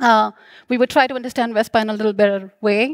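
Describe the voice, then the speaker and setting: A woman's voice, dry with no echo, over a quiet background. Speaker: conference speaker. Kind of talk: conference talk. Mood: friendly, slightly hurried. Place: stage. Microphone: headset.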